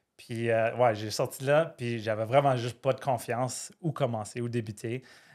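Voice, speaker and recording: A man speaks with an Ottawa accent and fairly even intonation, recorded very cleanly against a silent background. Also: medium pitch for a man, moderate pace. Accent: Ottawa French Canadian. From Ottawa, Canada (Franco-Ontarian). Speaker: firefighter and trader, podcast guest. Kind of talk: casual interview chat.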